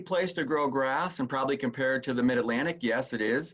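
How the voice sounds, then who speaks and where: A normal speaking voice from a man, medium in pitch, at a moderate pace with ordinary pitch variation. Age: 60s. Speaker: golf course superintendent. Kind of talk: interview.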